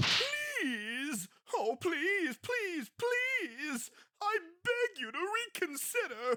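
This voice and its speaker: A whiny, put-on character voice at an extremely high pitch, with very wide pitch swings and a very slow pace. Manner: whiny, pleading.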